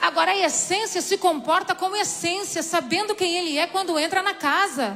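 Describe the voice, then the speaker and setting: Amid noticeable background noise, a woman projects a raised voice at an extremely high pitch. Her tone is animated, with ordinary pitch variation, very even loudness and a moderate pace. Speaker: preacher. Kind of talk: sermon.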